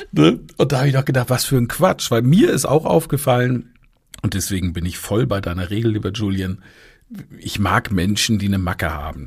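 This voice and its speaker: Recorded very cleanly against a silent background, a man with a fairly low pitch speaks at a moderate pace, somewhat breathy, with lively intonation. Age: 40s. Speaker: rhetoric trainer and podcast host. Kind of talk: live audio-room talk, moderated discussion. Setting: live social audio room.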